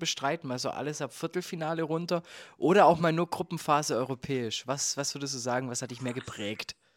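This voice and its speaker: A man in a plain, everyday voice at a moderate pace, with ordinary pitch variation and a dry, close sound with no echo on a very clean recording with a silent background. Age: 20s. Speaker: podcast host. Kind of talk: casual chat.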